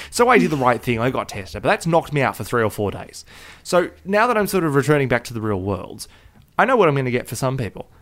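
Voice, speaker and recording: Very wide pitch swings from a man of medium pitch, delivered at a very fast pace. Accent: Australian. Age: 20s. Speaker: podcast co-host. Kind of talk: casual chat.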